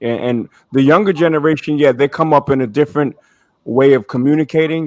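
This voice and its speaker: In a New York accent, a man speaks at a moderate pace with a fairly high pitch and ordinary pitch variation, the sound dry and close with no echo. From Brooklyn, New York. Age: 50s. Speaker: panelist, former interrogator. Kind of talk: panel discussion.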